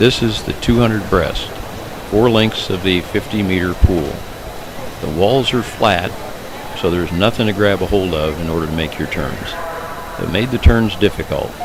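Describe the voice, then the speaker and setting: At a moderate pace, a man with a fairly low pitch speaks with ordinary pitch variation and long, frequent pauses. Audible room echo and noticeable background noise surround him. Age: 80s+. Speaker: masters swimmer. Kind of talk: narrated video commentary.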